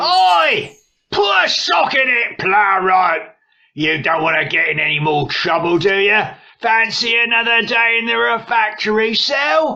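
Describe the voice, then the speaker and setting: A put-on character voice, raised and projected, moves along at a fairly slow pace. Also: man, high pitch for a man. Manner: shouting, gruff.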